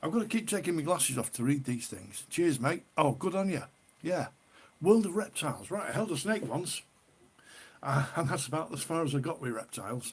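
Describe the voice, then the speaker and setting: A man with a northern English accent speaks at a fairly high pitch and a fairly quick pace. His intonation is lively. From northern England, Cheshire. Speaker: livestreamer, ale reviewer. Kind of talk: casual live stream chat. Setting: live stream. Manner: chatty, informal.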